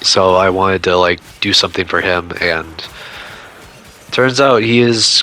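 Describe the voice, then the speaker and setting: A man's fairly low voice, fairly slow and fairly even in intonation, over noticeable background noise. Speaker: gaming YouTuber. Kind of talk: casual video commentary. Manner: stuttering; hesitant, filler-heavy.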